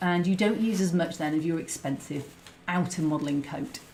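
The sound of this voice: A woman speaks with a low pitch and a slightly mellow tone. Her pitch variation is ordinary. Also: moderate pace.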